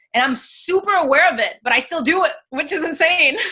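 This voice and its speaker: A woman with a French accent projects a raised voice with a bright, sharp tone. Her intonation is lively. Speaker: actress and singer. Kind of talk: coaching session on video call. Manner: halting.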